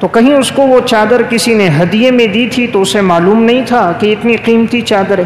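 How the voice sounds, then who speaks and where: Extremely high male voice with fairly even intonation and very even loudness, over noticeable background noise. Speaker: Islamic scholar giving a sermon. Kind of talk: Friday sermon (bayan) in Urdu.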